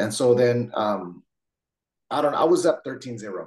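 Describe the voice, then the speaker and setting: This man has a Californian accent. His voice sits at a medium pitch. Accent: Californian American. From San Jose, California. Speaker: jiu-jitsu instructor. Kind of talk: casual interview.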